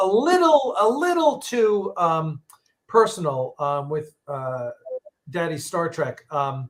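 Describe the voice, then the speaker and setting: In a New York accent, a man with a high-pitched voice talks at a very slow pace with very wide pitch swings. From New York, Long Island. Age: 60s. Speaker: podcast host. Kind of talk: casual chat. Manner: halting.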